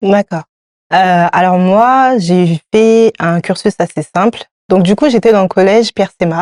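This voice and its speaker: Woman at medium pitch, very slow, with ordinary pitch variation and very even loudness, dry and close with no echo. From France, Paris suburbs (Seine-Saint-Denis). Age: 30s. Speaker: entrepreneur, hairdressing trainer. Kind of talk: interview.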